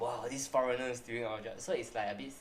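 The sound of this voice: The voice carries a Malaysian accent. Audible room echo surrounds it. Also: man.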